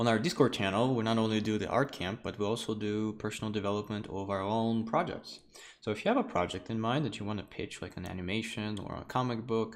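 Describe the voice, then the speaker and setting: Very fast speech from a man with a Russian accent, fairly low in pitch, with audible room echo. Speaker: art teacher and livestream host. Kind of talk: online lecture livestream. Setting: live stream from home. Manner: casual, conversational with fillers.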